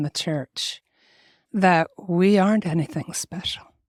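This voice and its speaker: In a dry, close recording with no echo, a woman speaks at medium pitch and a fairly slow pace. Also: very clean recording, silent background. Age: 60s. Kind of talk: interview. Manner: animated.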